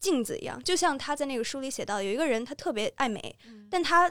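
A woman's high voice at a very fast pace with lively intonation, on a very clean recording with a silent background. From Beijing, China. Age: 20s. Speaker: university student. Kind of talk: casual chat.

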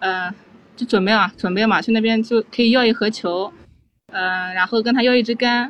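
Speaking at a moderate pace, a woman uses a fairly high pitch and ordinary pitch variation. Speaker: golf coach. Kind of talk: casual chat. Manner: soft-spoken.

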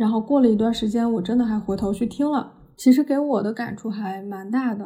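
A woman speaks at a moderate pace in a fairly high, somewhat breathy voice with a dark, mellow tone and fairly even intonation. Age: 20s. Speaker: podcast host and media student. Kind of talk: solo podcast monologue.

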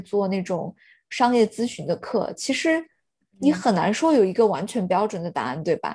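A woman speaks with a fairly high pitch and a dark, mellow tone. The background is quiet. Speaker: podcast co-host. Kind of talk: casual chat.

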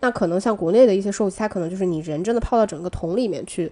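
A woman at a medium pitch, very fast, with ordinary pitch variation. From Northeast China. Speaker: podcast co-host. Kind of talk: casual chat.

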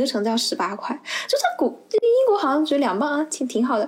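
A woman talks at a fairly quick pace. Noticeable background noise runs behind her. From Anhui, China. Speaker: university student. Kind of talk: casual chat.

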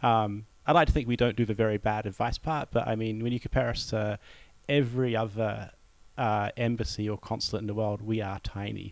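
A man with a New Zealand accent talks at a fairly quick pace with fairly even intonation, on a very clean recording with a silent background. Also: medium pitch for a man. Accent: Kiwi. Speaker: diplomat. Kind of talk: interview conversation.

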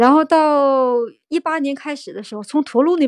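Moderate pace and ordinary pitch variation in a woman's voice of high pitch. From Inner Mongolia, Tongliao area. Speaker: picture book author and illustrator. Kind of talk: interview conversation.

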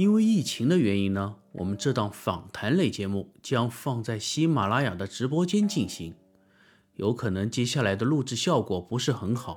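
On a very clean recording with a silent background, a man with a normal speaking voice and medium pitch speaks at a moderate pace with lively intonation. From southern China. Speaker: podcast host and audiobook narrator, former rock singer. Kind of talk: casual interview. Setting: platform livestream room.

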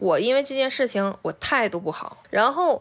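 Swinging very widely in pitch, a woman speaks in an animated tone on a very clean recording with a silent background. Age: 30s. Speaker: podcast co-host. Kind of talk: casual chat.

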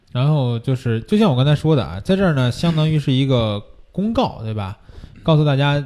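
A man with a Beijing accent talks at a fairly quick pace. His tone is dark and mellow, and his intonation is lively. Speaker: photography course teacher and show host. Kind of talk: casual chat. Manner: fast-talking.

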